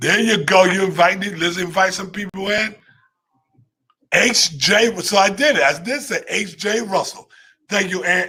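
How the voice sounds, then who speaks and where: Raising and projecting his high-pitched voice, a man speaks in an animated tone at a moderate pace with ordinary pitch variation. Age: 50s. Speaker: livestream business host. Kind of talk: live stream talk to viewers.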